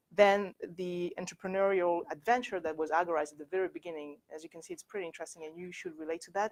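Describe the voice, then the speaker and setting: Fairly low in pitch, a woman talks at a very fast pace with a French accent. The sound is dry and close, with no echo. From France. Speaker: company director and workshop speaker. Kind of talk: presentation. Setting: university workshop with audience. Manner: halting.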